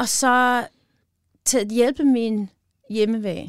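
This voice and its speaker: Speaking very slowly in a Midwestern American accent, a woman is heard on a very clean recording with a silent background. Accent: American (Midwest) accent in Danish. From US Midwest, northern Wisconsin. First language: English (speaking Danish). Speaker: chef and pie shop owner. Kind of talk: casual interview. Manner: halting, many fillers.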